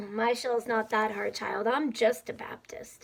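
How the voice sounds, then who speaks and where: Putting on a character voice, a woman speaks in a raspy tone at a fairly high pitch. Her intonation is monotone and flat, and her pace is fairly slow. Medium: read story. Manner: crisp, dry-witted.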